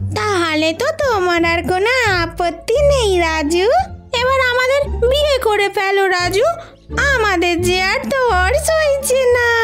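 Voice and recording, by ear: A female-sounding cartoonish character voice speaks at an extremely high pitch and a fairly slow pace. Clear music plays in the background.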